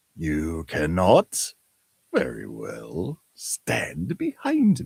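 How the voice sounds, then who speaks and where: A man puts on a character voice, very deep and low in pitch, and talks at a very slow pace. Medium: read story. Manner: calm, unbothered.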